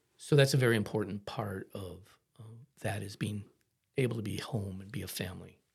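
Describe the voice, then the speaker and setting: A man's fairly low, somewhat breathy voice with an American accent, at a fairly quick pace, with long, frequent pauses, ordinary pitch variation and big swings in loudness. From Ohio, US Midwest. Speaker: florist, family business owner. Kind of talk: podcast interview.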